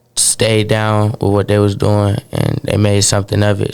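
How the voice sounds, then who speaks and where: A man at a fairly quick pace, with flat, monotone intonation and a fairly low pitch. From Caribbean roots, grew up in Atlanta. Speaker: rapper. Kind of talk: interview. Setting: radio studio.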